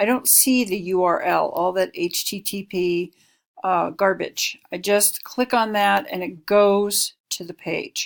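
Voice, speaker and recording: A woman's ordinary speaking voice with lively intonation, on a very clean recording with a silent background. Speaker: instructional designer giving course review feedback. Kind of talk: screen-recorded tutorial. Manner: casual.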